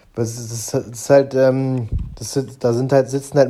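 A man speaks at a medium pitch in a monotone, flat delivery, with noticeable background noise behind him. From Germany, Braunschweig. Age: 30s. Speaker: professional boxer. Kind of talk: interview.

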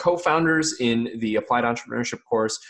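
A man speaks at a medium pitch with an American accent in an unremarkable speaking voice. His pitch variation is ordinary, and the background is quiet. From US, rural area. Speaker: podcast host. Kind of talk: casual interview.

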